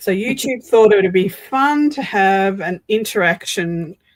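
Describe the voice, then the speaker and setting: Speaking at a very slow pace, a woman with an Australian accent uses lively intonation. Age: 60s. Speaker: craft streamer. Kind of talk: casual chat. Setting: live stream.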